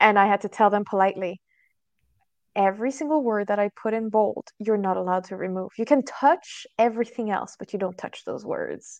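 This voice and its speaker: With a French accent, a woman talks at a fairly quick pace in a medium pitch with ordinary pitch variation, the sound dry and close with no echo. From France. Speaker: SEO trainer. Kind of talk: interview. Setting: video call.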